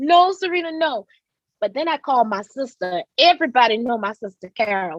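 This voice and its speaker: Animated in tone, a woman speaks in a high voice with very wide pitch swings. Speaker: domestic violence survivor. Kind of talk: testimony.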